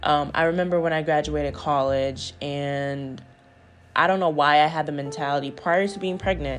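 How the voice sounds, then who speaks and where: A woman speaks with a very deep, low pitch and fairly even intonation at a moderate pace. Audible room echo surrounds her voice. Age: 20s. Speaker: podcast host, single mom. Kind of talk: casual solo monologue. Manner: conversational, relaxed.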